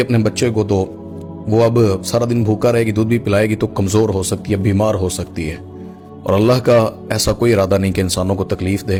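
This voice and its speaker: With music in the background, the voice keeps a fairly even intonation. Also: man. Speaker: Islamic scholar. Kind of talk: religious sermon.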